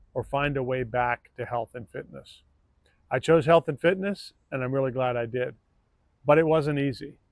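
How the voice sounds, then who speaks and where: An ordinary speaking voice at a moderate pace, with ordinary pitch variation and a dry, close sound with no echo. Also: man, medium pitch for a man. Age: 60s. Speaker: fitness coach. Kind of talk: channel introduction. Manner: conversational.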